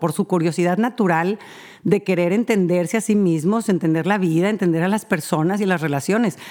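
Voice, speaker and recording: Her tone is dark and mellow as the woman speaks at a moderate pace with lively intonation. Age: 40s. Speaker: family counselor podcast host. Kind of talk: advice monologue. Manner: halting, many fillers.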